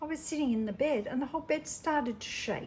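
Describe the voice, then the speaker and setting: The voice has an Australian accent and ordinary pitch variation. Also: woman. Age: 70s. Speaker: resin craft YouTuber. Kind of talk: casual crafting tutorial.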